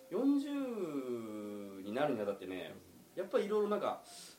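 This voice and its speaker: This man's voice sits high. It rises and falls across a very wide range. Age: 40s. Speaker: restaurant owner. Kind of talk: casual chat.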